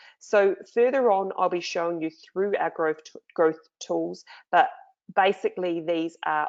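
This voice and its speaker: This is a woman speaking. She talks in a New Zealand accent. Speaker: online marketing trainer. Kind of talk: screen-share tutorial. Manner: casual, many fillers.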